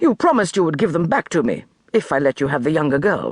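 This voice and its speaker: In a put-on character voice, the speaker growls at a middle pitch and talks at a very fast pace. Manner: pleading, shaky.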